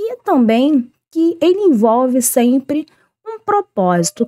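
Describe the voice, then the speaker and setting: With a high pitch and very wide pitch swings, a woman's dark, mellow tone comes through in a dry, close sound with no echo. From Rio de Janeiro, Brazil. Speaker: teacher. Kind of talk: online lesson. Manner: informal, conversational.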